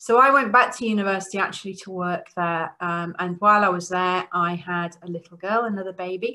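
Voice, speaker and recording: A woman with an English accent, her tone bright and sharp, her loudness swinging widely. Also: medium pitch for a woman, ordinary pitch variation, fairly quick pace. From Norway and Netherlands, English family. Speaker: computing lecturer. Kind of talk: keynote talk. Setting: virtual conference. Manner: frequent um fillers.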